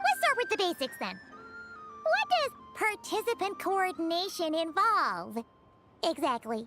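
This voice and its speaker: Loud music plays behind a put-on character voice at an extremely high pitch. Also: moderate pace. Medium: game stream. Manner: upbeat, confident.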